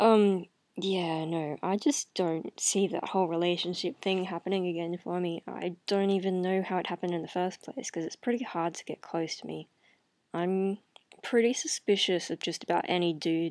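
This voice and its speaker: Soft-spoken and fairly low in pitch, a woman talks at a moderate pace with fairly even intonation, in a dry sound with no echo against a quiet background. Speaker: video blogger. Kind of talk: casual vlog chat. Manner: low, drowsy late-night murmur. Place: home room. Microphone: webcam.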